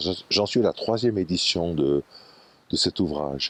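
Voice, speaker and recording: At a moderate pace, a man with a very deep, low pitch talks with lively intonation in a dry, close sound with no echo. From Switzerland, Valais (Martigny). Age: 80s+. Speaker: photographer and foundation founder. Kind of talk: interview, personal reminiscence. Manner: hesitant, with repetitions and fillers.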